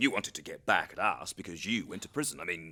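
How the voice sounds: A man performs a put-on character voice, low-pitched with a bright, sharp tone. His intonation is lively, his pace fairly quick, and the recording very clean with a silent background.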